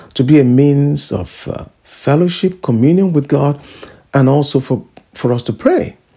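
A man with a fairly high pitch speaks at a moderate pace in a warm, dark, mellow tone that is somewhat breathy. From Nigeria. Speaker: preacher. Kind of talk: radio sermon with exhortation, scripture teaching and personal testimony. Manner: fervent, emphatic preaching cadence with repeated phrases and hallelujahs; warm, conversational asides with filler uhs.

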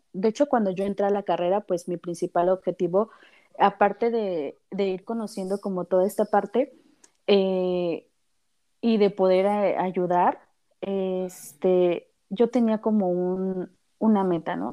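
A woman's medium-pitched voice, with ordinary pitch variation, moves at a fairly slow pace. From Mexico City. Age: 30s. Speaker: psychologist. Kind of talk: interview.

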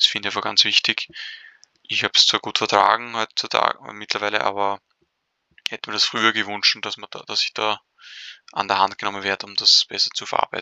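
A man's fairly low, monotone, flat delivery at a fairly quick pace, with big swings in loudness and long, frequent pauses. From Austria, Vienna. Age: 20s. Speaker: podcast co-host. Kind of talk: casual interview. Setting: online call.

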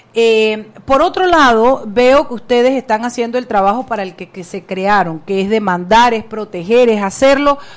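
Speaking at a moderate pace with lively intonation, a woman has a plain, everyday voice at a fairly high pitch. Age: 50s. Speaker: radio host. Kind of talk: casual chat; interview.

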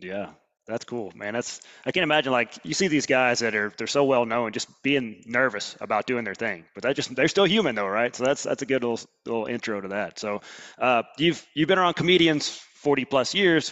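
With an Alabama accent, a man at a medium pitch talks at a fairly quick pace with lively intonation. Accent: Southern US (Alabama). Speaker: podcast host. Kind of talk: casual interview. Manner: fast; animated.

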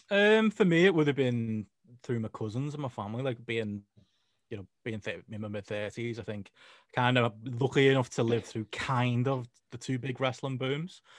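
A man talks at a moderate pace in an ordinary speaking voice of medium pitch. His pitch varies normally, while his loudness swings widely. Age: 30s. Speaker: wrestling journalist. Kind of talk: casual chat.

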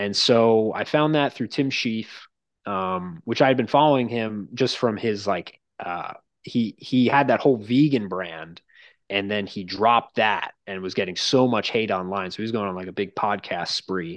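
A man with an American accent and an ordinary speaking voice, fairly low in pitch with ordinary pitch variation, at a moderate pace against a quiet background. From Long Island, New York. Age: 20s. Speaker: strength coach. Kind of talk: casual chat.

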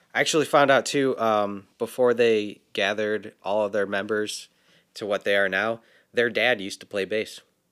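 Using an ordinary speaking voice, a man talks at a moderate pace in a fairly low pitch. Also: fairly even intonation, very clean recording, silent background. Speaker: podcast co-host.

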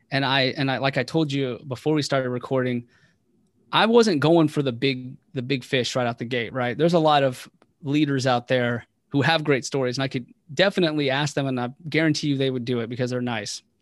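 Using a normal speaking voice, a man talks at a fairly quick pace and medium pitch with ordinary pitch variation. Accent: American. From West Virginia. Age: 30s. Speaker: air force senior NCO and podcast host. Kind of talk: interview.

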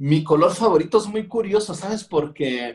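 With lively intonation and a somewhat breathy quality, a man's speech unfolds at a fairly slow speed. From Mexico, Culiacán, Sinaloa. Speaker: street artist and graphic designer. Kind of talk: interview. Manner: casual, slangy.

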